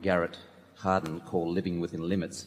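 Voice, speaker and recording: A man's very deep, low voice with an Australian accent. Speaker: shareholder asking a question. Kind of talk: question from audience. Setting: audience microphone in arena.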